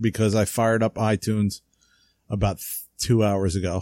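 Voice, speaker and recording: A man's fairly low, dark, mellow voice with a New Jersey accent at a moderate pace, in a very clean recording with a silent background and a dry, close sound with no echo. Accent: New Jersey American English. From US Northeast (New Jersey). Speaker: podcast co-host, radio-control model hobbyist. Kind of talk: casual chat. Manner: casual, slangy.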